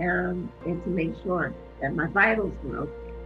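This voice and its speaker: A woman's fairly low voice with clear music in the background. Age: 50s. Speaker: cancer patient. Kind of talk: interview answer. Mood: calm, earnest, reflective. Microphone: phone near.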